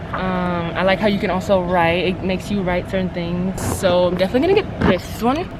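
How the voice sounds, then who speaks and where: The speech moves at a fairly quick pace with hardly any pauses and fairly even intonation, against audible room echo and noticeable background noise. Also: woman, medium pitch for a woman. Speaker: lifestyle vlogger. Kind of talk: casual vlog chat. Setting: bookstore.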